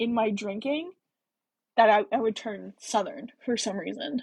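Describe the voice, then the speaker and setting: Speaking at a moderate pace with an American accent, a woman has a fairly high, somewhat breathy voice and ordinary pitch variation. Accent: generic American. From US Midwest. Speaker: book reading livestreamer. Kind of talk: casual chat during live book reading. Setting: livestream.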